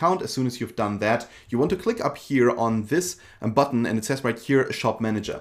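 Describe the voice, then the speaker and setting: Speaking at a very fast pace, a man with a German accent keeps a medium pitch. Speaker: online seller and tutorial creator. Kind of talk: tutorial. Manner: casual with frequent fillers.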